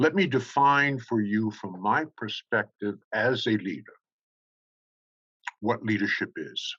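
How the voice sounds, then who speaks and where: At a very slow pace with long, frequent pauses, a man with a medium pitch speaks in a bright, sharp tone and lively intonation. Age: 70s. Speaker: keynote speaker. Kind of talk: keynote speech. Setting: stage at charity summit.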